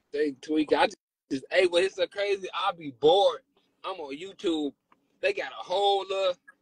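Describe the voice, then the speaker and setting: Against a quiet background, a man with a high pitch talks at a fairly quick pace in an animated tone, with ordinary pitch variation and a dry sound with no echo. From Chicago. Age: 40s. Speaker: rapper. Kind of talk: casual livestream chat. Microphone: phone near.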